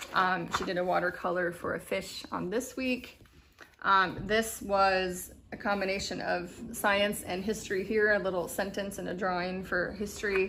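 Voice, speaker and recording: A woman speaks at a moderate pace in a medium pitch. Her intonation is monotone and flat, and the room echo is audible. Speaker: homeschool vlogger. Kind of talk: casual chat.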